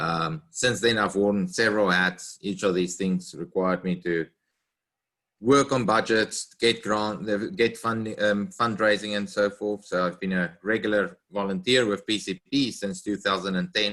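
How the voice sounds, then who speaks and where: With a South African accent, a man with fairly low pitch and a bright, sharp tone speaks at a fairly slow pace with fairly even intonation, in a very clean recording with a silent background. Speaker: conservation scientist, treasurer candidate. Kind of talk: self-introduction.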